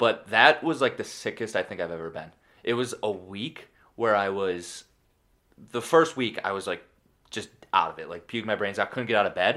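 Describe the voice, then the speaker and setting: A man with a Buffalo accent, a bright, sharp tone, lively intonation, a fairly quick pace and big swings in loudness, on a very clean recording with a silent background. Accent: Western New York (Buffalo). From Buffalo, New York area. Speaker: podcast co-host, gym worker. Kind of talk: casual chat.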